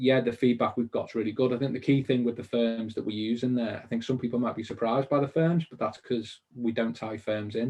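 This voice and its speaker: A man with a Liverpool accent speaks at a fairly quick pace and a medium pitch. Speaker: mortgage industry business founder. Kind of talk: webinar interview. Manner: animated.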